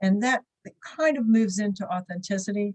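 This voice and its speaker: The voice sounds somewhat breathy, with ordinary pitch variation. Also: woman. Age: 60s. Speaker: business networking leader, writer on aging. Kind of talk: short talk on a problem.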